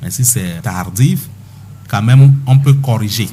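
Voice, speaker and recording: Using a normal speaking voice, a man talks at a fairly slow pace in a medium pitch. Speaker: doctor guest speaking on health topic (stuttering). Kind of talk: radio interview answer, explanatory.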